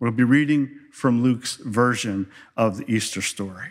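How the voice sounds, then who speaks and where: A man is speaking. His pace is very slow. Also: very clean recording, silent background. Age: 60s. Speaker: pastor. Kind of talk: sermon.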